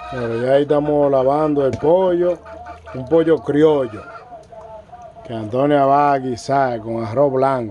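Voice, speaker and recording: A man with a fairly high pitch and ordinary pitch variation speaks at a fairly slow pace, pausing long and often over light background noise. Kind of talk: vlog narration to camera. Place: kitchen. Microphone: phone near.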